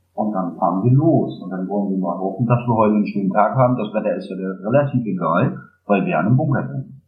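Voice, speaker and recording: The voice moves at a fairly quick pace with lively intonation. Music plays in the background, and there is audible room echo. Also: man. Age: 30s. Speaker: geocacher. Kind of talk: casual interview. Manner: hesitant, many filler sounds.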